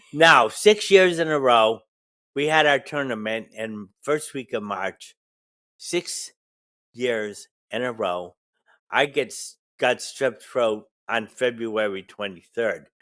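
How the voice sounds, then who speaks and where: In an American accent, a man speaks at medium pitch with a bright, sharp tone and lively intonation, his loudness swinging widely. The pace is very slow with long, frequent pauses, on a very clean recording with a silent background. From Connecticut. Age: 70s. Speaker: talk show co-host. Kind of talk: casual chat. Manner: halting, many fillers.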